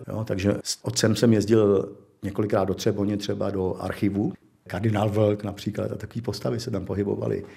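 Speaking with a dark, mellow tone and vocal fry, a man keeps his fairly low voice at a fairly even intonation. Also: fairly quick pace. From Czech Republic, South Bohemia (České Budějovice). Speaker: illustrator. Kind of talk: life-story interview, reminiscing.

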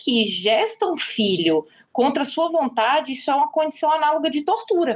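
This woman's pitch swings across a very wide range. She keeps a moderate speed. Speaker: lawyer and feminist podcaster. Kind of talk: interview.

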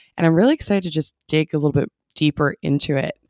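The sound is dry and close with no echo as a woman with a very deep, low voice speaks with fairly even intonation. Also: very clean recording, silent background. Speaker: podcast host. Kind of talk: interview, podcast host.

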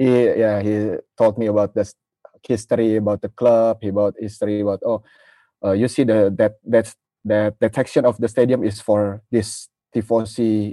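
A man with an Indonesian accent has a dark, mellow tone and fairly low pitch. His intonation is monotone and flat, with big swings in loudness against a quiet background. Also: moderate pace, dry, close sound with no echo. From Indonesia (Jakarta). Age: 30s. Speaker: football fan. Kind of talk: casual interview. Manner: halting.

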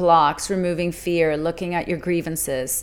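At a moderate pace, a woman speaks in an unremarkable speaking voice with a fairly low pitch. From Mexico City, then Vancouver, Canada from age ten. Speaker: life coach. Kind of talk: interview, personal testimony.

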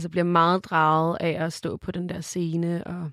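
A woman speaks fairly slowly at a fairly low pitch, in a monotone, flat way. The recording is very clean, with a silent background and a dry, close sound with no echo. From Denmark, Køge. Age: 20s. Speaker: musician. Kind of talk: casual chat.

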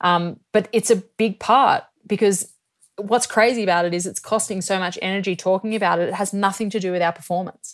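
Heard in a very clean recording with a silent background, a woman with an Australian accent speaks at medium pitch and a moderate pace, with fairly even intonation. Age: 30s. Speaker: professional ski cross athlete. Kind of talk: interview conversation.

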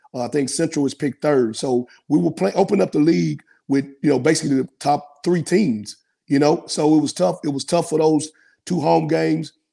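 At a fairly quick pace, a man with a Memphis accent speaks at a fairly high pitch in a dark, mellow tone, with ordinary pitch variation. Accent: US Southern (Memphis). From Memphis, Tennessee. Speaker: college basketball coach. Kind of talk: interview. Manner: casual.

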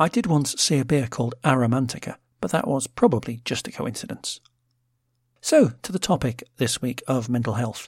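A man talks at a moderate pace with ordinary pitch variation and a somewhat breathy sound. The recording is very clean, with a silent background. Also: medium pitch for a man. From Britain. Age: middle-aged. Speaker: podcast host. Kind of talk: scripted solo podcast narration with linked contributions.

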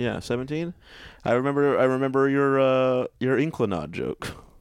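A man's ordinary speaking voice with an American accent, medium in pitch, at a moderate pace, on a very clean recording with a silent background. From Texas, Fort Worth. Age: 30s. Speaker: comedian. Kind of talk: casual chat.

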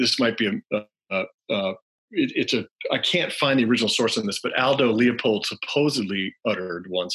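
A man with an American accent has an unremarkable speaking voice, speaking at a medium pitch and a moderate pace with ordinary pitch variation against a quiet background. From US South (Alabama, North Carolina). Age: 40s. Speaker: author. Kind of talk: interview storytelling.

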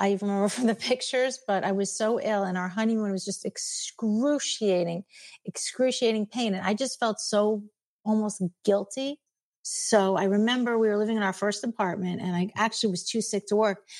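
A woman's normal speaking voice with an American accent, fairly high pitch, fairly even intonation and a fairly quick pace, on a very clean recording with a silent background. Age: 50s. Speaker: retired special education teacher. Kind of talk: interview.

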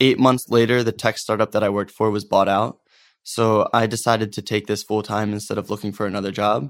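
A man with an American accent and a plain, everyday voice, medium in pitch, at a moderate pace with fairly even intonation. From US Northeast, Philadelphia suburbs (Norristown). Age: 20s. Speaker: social project founder, former consultant. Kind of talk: casual interview chat.

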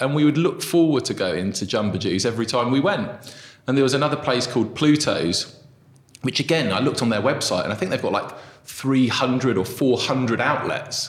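A man speaks at a moderate pace, his pitch swinging very widely. Noticeable background noise runs under his voice. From southeast England. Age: 30s. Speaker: restaurant co-founder. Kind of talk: interview conversation. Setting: small room with echo.

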